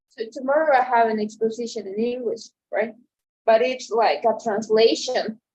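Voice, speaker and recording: A woman with a fairly high pitch speaks at a moderate pace, using ordinary pitch variation. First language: Spanish. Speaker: translation student. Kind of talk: casual chat. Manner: halting, with many repetitions and fillers.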